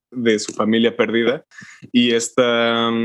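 The man speaks at a very slow pace. His pitch sits at a medium level. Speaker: podcast co-host. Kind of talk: casual chat.

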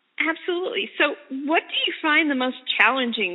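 A woman speaks at a moderate pace. Her tone is warm. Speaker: radio interviewer. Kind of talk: radio interview, casual chat. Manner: warm, encouraging.

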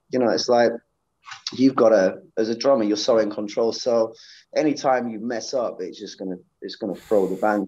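A man with a Yorkshire accent speaks in a dark, mellow tone. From Sheffield, England. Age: 40s. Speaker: professional session drummer. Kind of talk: casual interview chat. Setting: at a gig venue.

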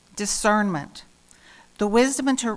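A woman speaks in a normal speaking voice at a medium pitch. Her pace is fairly slow. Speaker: lay worship leader. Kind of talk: scripture reading. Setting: church.

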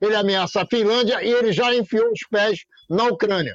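A man speaks at a moderate pace. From Brazil, Rio de Janeiro (Copacabana). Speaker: political commentator. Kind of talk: heated debate. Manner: animated.

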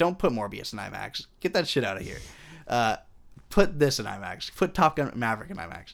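At a fairly quick pace, a man with a fairly high pitch and vocal fry makes very wide pitch swings and big swings in loudness, on a very clean recording with a silent background. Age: 20s. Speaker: film podcast co-host. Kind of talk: casual chat.

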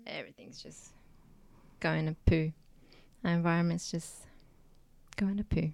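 A woman with an Australian accent and a fairly low pitch speaks with fairly even intonation and long, frequent pauses. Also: moderate pace, big swings in loudness. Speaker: guest. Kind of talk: casual chat.

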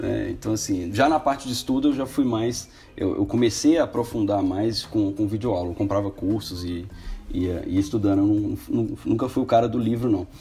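This man has an ordinary speaking voice with a fairly low pitch. He talks at a moderate pace with ordinary pitch variation. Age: 20s. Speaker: programmer and business owner. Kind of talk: casual chat.

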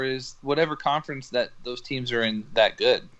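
A man speaks in a plain, everyday voice. He keeps a moderate pace with ordinary pitch variation. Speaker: podcast co-host. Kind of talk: casual banter. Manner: crude joker.

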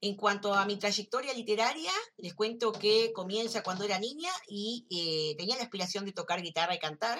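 A woman's plain, everyday voice at medium pitch, moderate pace, ordinary pitch variation and hardly any pauses. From Uruguay. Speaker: writer. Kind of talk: recorded self-introduction.

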